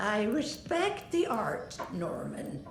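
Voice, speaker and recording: Putting on a character voice at a fairly high pitch, a woman talks with a slight echo and clear noise in the background. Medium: video game.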